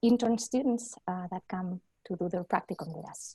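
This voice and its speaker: This woman's voice has a dark, mellow tone and is somewhat breathy. The sound is dry and close, with no echo. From Spain. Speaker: mental health clinical supervisor. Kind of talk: panel discussion.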